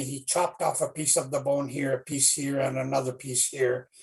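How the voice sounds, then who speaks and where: A man speaks in a somewhat breathy voice with a fairly high pitch. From Canadian Arctic, Inuit, Rankin Inlet. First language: Inuktitut. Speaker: children's author. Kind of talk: storytelling talk to school students. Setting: livestream. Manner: halting, many fillers.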